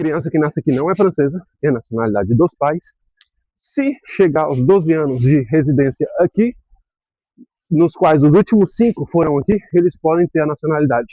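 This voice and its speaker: Animated and lively in intonation, a man speaks at a moderate pace with a fairly high pitch. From Brazil, raised partly in Spain. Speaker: vlogger. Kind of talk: casual vlog monologue. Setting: outdoors, cycling. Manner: halting, with repetitions.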